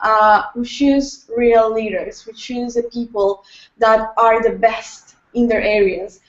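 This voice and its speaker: The delivery is monotone, with flat intonation. Words come at a very slow pace. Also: woman, fairly high pitch for a woman. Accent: non-native. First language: Spanish. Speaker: youth entrepreneurship leader. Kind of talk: interview on video hangout. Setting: video call. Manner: halting.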